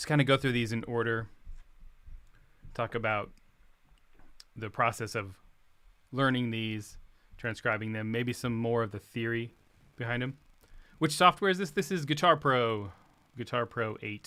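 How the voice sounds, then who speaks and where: Quiet and at a moderate pace, a man of medium pitch speaks in a bright, sharp tone with ordinary pitch variation and long, frequent pauses, in a very clean recording with a silent background. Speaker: guitarist and music teacher. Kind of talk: livestream guitar tutorial. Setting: home livestream.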